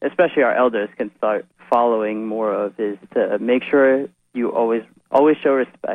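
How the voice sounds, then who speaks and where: An unremarkable speaking voice from a man with an American accent, medium in pitch, with ordinary pitch variation and a moderate pace. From New Jersey, Edison. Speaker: local party committee member. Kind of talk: radio interview.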